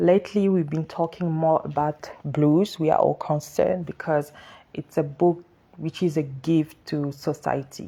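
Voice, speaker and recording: A woman's very deep, low voice with a dark, mellow tone, a French accent and a moderate pace. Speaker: author. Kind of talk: social media livestream talk. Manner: halting.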